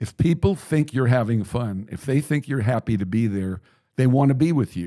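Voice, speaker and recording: At a moderate pace and medium pitch, a man talks with lively intonation and a dark, mellow tone, the sound dry and close with no echo. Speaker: baseball radio play-by-play broadcaster. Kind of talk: interview answer. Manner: friendly, conversational.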